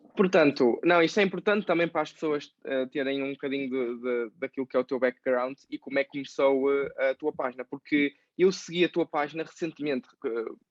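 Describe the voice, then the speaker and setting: The speech moves at a fairly quick pace with ordinary pitch variation and hardly any pauses. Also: man, fairly high pitch for a man. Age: 20s. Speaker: podcast host, personal finance youtuber. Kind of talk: interview. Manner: hesitant, many fillers.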